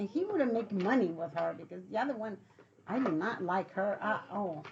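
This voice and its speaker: A woman at a fairly quick pace and medium pitch, with noticeable background noise. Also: ordinary pitch variation. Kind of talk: interview answer.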